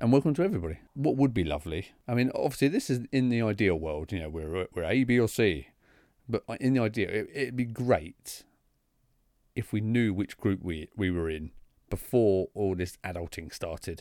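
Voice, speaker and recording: On a very clean recording with a silent background, a man with a British accent talks at a moderate pace in a fairly low voice with lively intonation. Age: 30s. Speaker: podcast host. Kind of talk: solo monologue podcast. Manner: conversational with frequent hesitations.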